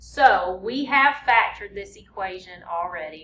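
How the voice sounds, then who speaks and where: A woman keeps a moderate pace and ordinary pitch variation, with audible room echo and noticeable background noise around her. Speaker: math teacher. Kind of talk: lecture.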